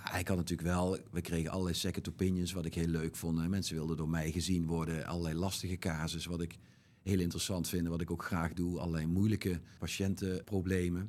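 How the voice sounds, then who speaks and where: A man's very deep, low voice at a fairly quick pace, monotone and flat in intonation, with very even loudness. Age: 50s. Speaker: bariatric surgeon. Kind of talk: interview.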